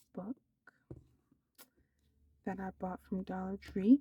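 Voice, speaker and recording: A soft-spoken, somewhat breathy woman's voice, medium in pitch and dark and mellow in tone, with a dry, close sound and no echo. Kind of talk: soft-spoken ASMR book haul, casual rambling to camera. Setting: home recording, ASMR-style. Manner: soft-spoken, slow, hesitant with some stuttering.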